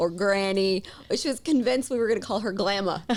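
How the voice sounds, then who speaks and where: In a strong Southern US accent, a woman speaks at a very fast pace with a medium pitch and ordinary pitch variation. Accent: thick Southern US. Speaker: podcast host. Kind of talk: casual chat.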